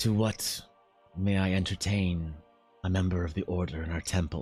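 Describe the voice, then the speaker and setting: Soft-spoken and very deep, low in pitch, a man uses a put-on character voice at a moderate pace over faint music in the background. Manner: courteous, formal.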